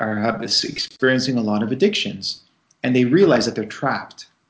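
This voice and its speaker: A man's medium-pitched voice at a moderate pace, a normal speaking voice. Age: 40s. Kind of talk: interview.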